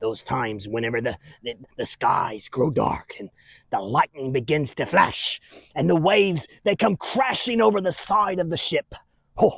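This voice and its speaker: A man's put-on character voice, fairly high in pitch, with very wide pitch swings, a moderate pace and a dry, close sound with no echo. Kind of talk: children's church skit. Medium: solo performance. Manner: rambling, chuckling, folksy.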